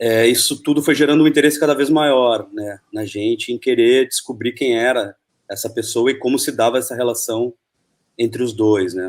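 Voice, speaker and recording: A man with a normal speaking voice and a medium pitch. He talks at a moderate pace with ordinary pitch variation. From Argentina, moved to Brazil early 1980s. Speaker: film director. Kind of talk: interview.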